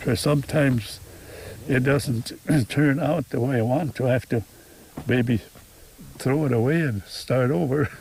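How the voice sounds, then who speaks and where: A man with a medium-pitched, somewhat breathy voice speaks at a moderate pace with ordinary pitch variation, very even loudness, and long, frequent pauses. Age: 80s+. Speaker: retired farmer. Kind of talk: interview answer.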